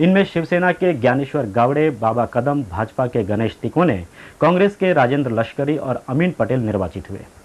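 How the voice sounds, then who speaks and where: Lively intonation colors this man's plain, everyday voice, which sits at a medium pitch. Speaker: news anchor. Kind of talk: TV news bulletin read.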